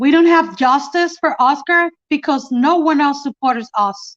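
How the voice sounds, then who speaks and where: In a dry, close sound with no echo, a woman with a high pitch speaks fairly slowly in a Mexican accent. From Mexico. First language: Spanish. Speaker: mother of police killing victim. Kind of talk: testimony. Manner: halting.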